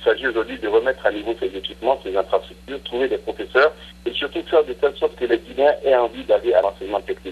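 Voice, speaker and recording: A man talks at a very fast pace. His loudness swings in big ways. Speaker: government minister. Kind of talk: interview. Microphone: poor line.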